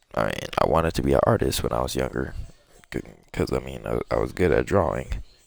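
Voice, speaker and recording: A man with a very deep, low voice and vocal fry talks at a very fast pace, using ordinary pitch variation and long, frequent pauses. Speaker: gaming streamer. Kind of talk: casual chat. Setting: live stream. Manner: halting.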